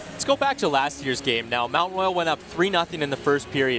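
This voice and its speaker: A man talks fairly quickly with ordinary pitch variation while music sounds in the background. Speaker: sports broadcaster, play-by-play announcer. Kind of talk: live hockey play-by-play and commentary.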